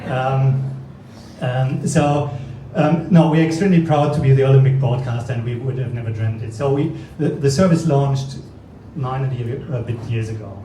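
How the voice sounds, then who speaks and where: A man with a French accent at medium pitch, ordinary pitch variation and moderate pace, amid audible room echo and noticeable background noise. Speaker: streaming company executive. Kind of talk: launch event speech. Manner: halting, many fillers and repetitions.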